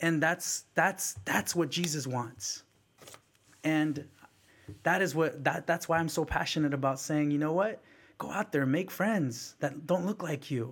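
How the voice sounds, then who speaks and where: Speaking with a Bay Area accent, a man talks at a fairly slow pace and a fairly high pitch, with ordinary pitch variation. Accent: Bay Area American English. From San Francisco Bay Area, California. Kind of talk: casual conversational storytelling.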